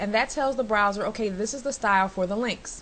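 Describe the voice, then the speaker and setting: With noticeable background noise behind her, a woman speaks at a fairly high pitch with ordinary pitch variation. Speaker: web design tutorial maker. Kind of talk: tutorial. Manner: fast.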